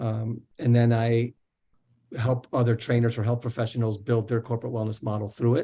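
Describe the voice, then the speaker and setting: At a moderate pace, the voice comes through dark and mellow in tone, somewhat breathy. The background is quiet. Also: man. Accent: American. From New Jersey. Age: 50s. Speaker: wellness coach and author. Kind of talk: interview.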